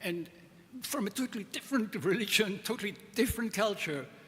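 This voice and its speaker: With noticeable background noise around him, a man speaks with lively intonation. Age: 80s+. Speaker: conference speaker. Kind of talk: conference talk.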